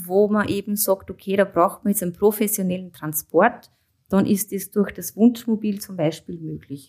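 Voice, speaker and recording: A woman of medium pitch speaks with a dark, mellow tone. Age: 30s. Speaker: hospice manager and nurse. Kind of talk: interview.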